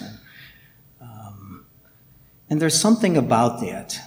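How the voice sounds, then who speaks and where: Vocal fry at a moderate pace. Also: man. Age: 60s. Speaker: lay Buddhist practitioner and artist giving a talk. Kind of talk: dharma talk. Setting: temple hall with audience.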